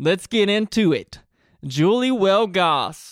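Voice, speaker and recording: A man is speaking. His pace is fairly slow. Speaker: podcast host and musician. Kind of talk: casual interview chat. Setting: video recording.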